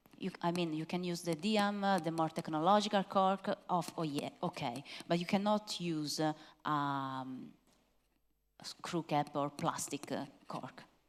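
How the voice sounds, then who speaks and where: In a very clean recording with a silent background, a woman with an Italian accent speaks at a fairly slow pace, her fairly low pitch showing ordinary variation. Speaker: wine expert presenter. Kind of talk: masterclass Q&A. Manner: hesitant, many fillers.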